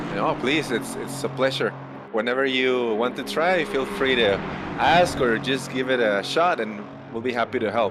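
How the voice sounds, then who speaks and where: Someone with a Spanish accent speaks at a moderate pace with ordinary pitch variation over noticeable background noise. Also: man, medium pitch for a man. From Mexico. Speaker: sim racing commentator. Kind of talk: live commentary. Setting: commentary booth.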